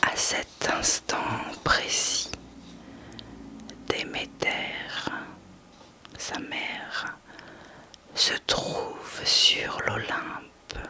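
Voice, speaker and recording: A soothing whisper at a very slow pace, with long, frequent pauses and noticeable background noise. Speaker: sophrologist and ASMR whisper reader. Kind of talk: whispered reading of a mythology text, sleep and relaxation story. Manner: whispered, slow, soothing.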